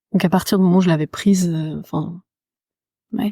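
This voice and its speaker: A woman talks at a medium pitch and a moderate pace in a dark, mellow tone that is somewhat breathy. The sound is dry and close with no echo. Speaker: lullaby singer and children's show performer. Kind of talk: interview answer. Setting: library, poor microphone recording.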